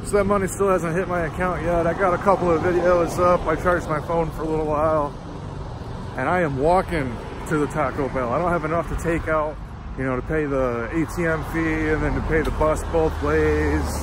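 Over noticeable background noise, a man talks at a fairly quick pace, the sound dry with no echo. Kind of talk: casual vlog chat. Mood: mildly frustrated. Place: street. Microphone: phone near.

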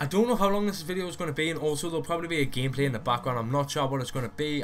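Through noticeable background noise, a man talks at a very fast pace, his fairly high pitch showing ordinary variation. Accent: Geordie. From Newcastle area, northeast England. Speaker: YouTuber. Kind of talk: casual, slangy. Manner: fast talker.

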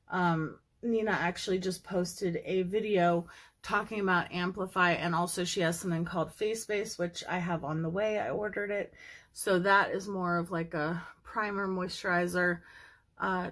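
A woman's monotone, flat voice at a moderate pace over a quiet background. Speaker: makeup vlogger. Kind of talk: tutorial. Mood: cheerful, relaxed. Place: home room. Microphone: phone near.

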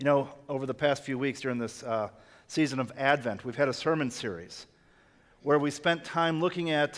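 The pace of this man's speech is moderate. His pitch rises and falls in an ordinary way. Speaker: pastor. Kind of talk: sermon. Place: church.

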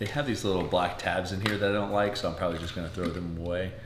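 A man's speech shows ordinary pitch variation, with noticeable background noise in the mix. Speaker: home vlogger. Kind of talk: casual vlog chat. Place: kitchen. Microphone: camera far.

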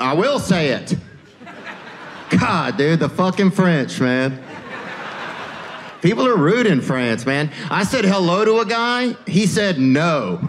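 Over light background noise, a man with an American accent speaks at a very slow pace with long, frequent pauses. His voice is high, with very wide pitch swings. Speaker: stand-up comedian. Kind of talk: stand-up comedy set. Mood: laid-back, deadpan, playful. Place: stage. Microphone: handheld.

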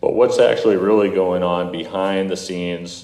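A man with a very deep, low pitch talks at a moderate pace. Audible room echo surrounds his voice. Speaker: solar energy company representative. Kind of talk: presentation to city council. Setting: city council meeting. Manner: halting; loud.

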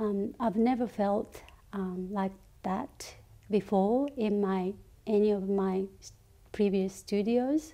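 With a Japanese accent and a dark, mellow tone, a woman at a medium pitch speaks at a very slow pace, with ordinary pitch variation and long, frequent pauses. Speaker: ceramic artist. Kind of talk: interview monologue. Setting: studio. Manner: halting. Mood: calm, gentle, reflective. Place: workshop.

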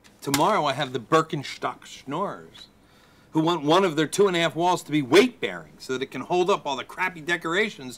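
Light background noise sits behind a man with an American accent, who talks fairly quickly with ordinary pitch variation. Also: fairly high pitch for a man. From Philadelphia, USA. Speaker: comedian. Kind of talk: comedic web series monologue. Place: garden.

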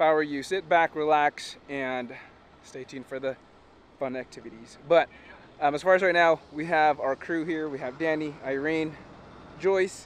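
A man speaks at a moderate pace with fairly even intonation. The sound is dry with no echo, over light background noise. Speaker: car show organizer vlogger. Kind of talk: casual vlog chat. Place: street. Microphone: phone near.

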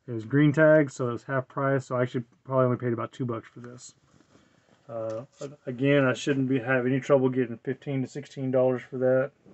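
A man's voice, flat and monotone, with big swings in loudness. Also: medium pitch for a man, fairly quick pace. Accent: American. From Texas, Dallas. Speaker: reseller YouTuber. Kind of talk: casual vlog talk. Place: home room. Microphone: webcam.

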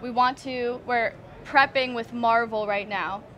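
A woman speaks with monotone, flat intonation. Music plays in the background. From Toronto, Canada. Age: 20s. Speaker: singer, recording artist. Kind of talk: interview answer. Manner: casual, chatty. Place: hall. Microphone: headset.

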